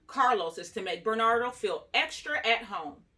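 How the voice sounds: The clip features a natural reading voice.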